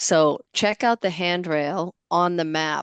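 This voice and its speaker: The recording of a woman with a Boston accent has a dry, close sound with no echo and a quiet background. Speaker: webinar moderator. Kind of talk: webinar discussion.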